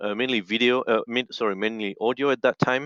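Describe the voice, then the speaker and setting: There is a quiet background as a man with a French accent talks at medium pitch with ordinary pitch variation, the sound dry and close with no echo. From French-speaking Switzerland. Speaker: audio engineer in missions. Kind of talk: interview. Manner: halting, many fillers.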